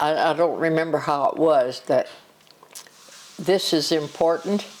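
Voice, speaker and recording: Very deep, low female voice at a fairly slow pace amid noticeable background noise. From US Midwest, southern Illinois. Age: 90s. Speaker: grandmother interviewed by family. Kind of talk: family interview, life stories. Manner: halting.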